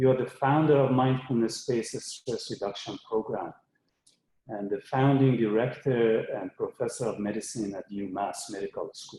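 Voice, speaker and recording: A man with a medium pitch speaks at a fairly quick pace. His pitch variation is ordinary, and his loudness swings widely. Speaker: webinar host and interviewer. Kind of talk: live webinar introduction. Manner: hesitant, many fillers.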